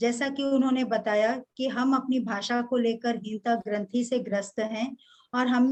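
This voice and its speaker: In a Kannada accent, a woman speaks with a high pitch. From Karnataka, India; grew up moving around India. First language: Kannada (speaking Hindi). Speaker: Hindi professor. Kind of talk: formal speech at a webinar. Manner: formal, with some hesitations.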